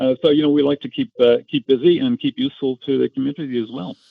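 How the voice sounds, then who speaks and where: A man talks at a very fast pace. He has a non-native accent. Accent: non-Australian accent, noticed as foreign. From Ireland. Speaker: amateur radio operator. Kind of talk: casual chat. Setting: phone call.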